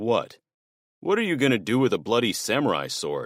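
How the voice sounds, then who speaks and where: Doing a put-on character voice, a man growls at medium pitch. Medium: read story.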